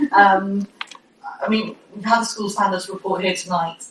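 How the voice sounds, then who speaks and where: Noticeable noise sits behind the speech. A woman talks fairly quickly. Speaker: cabinet member for education. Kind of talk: committee meeting report. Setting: council committee room. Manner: fast.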